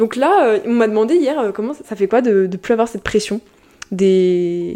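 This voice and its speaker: Amid noticeable background noise, a woman speaks with lively intonation. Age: young. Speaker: YouTuber and podcast host. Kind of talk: casual solo podcast talk. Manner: fast.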